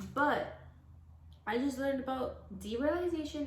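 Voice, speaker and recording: Audible room echo surrounds a woman as she talks. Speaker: youtuber. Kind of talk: casual chat.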